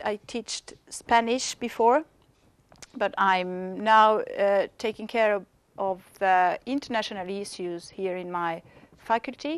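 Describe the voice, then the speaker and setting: With a French accent, a woman speaks at a medium pitch and a very slow pace. The sound is dry and close, with no echo. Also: ordinary pitch variation. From France, near Lyon. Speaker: university language teacher and international coordinator. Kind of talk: self-introduction. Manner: halting.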